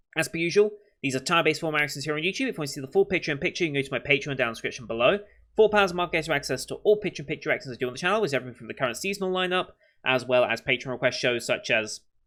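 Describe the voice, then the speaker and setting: Someone with a British accent talks at a very fast pace, mumbling, with lively intonation and a bright, sharp tone. The recording is very clean, with a silent background. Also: man. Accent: British, slurred words. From Britain. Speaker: anime reaction youtuber. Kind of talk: casual chat to camera. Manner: mumbling, words blurred together.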